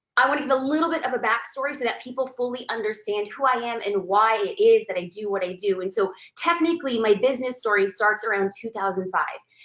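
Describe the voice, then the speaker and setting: With an American accent, a woman speaks in an animated tone at a high pitch and a fairly quick pace, her intonation lively. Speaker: photographer and business coach. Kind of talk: webinar presentation. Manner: fast.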